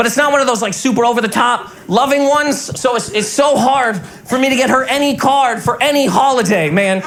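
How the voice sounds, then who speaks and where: Noticeable background noise accompanies a man whose pitch is extremely high. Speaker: stand-up comedian. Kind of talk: stand-up comedy set. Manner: fast, rapid-fire.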